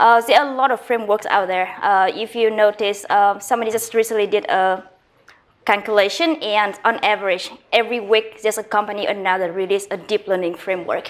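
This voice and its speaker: A woman at medium pitch with a Vietnamese accent, fairly even intonation and a fairly quick pace. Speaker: guest lecturer. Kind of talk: lecture. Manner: fast; halting, many fillers.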